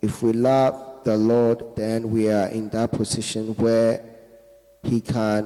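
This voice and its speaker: A man's dark, mellow tone at medium pitch, monotone and flat in intonation, very slow in pace and very even in loudness. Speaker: preacher. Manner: fervent, emphatic, declaring prayers in bursts for the responder to echo; halting, with filler words and repeated phrases.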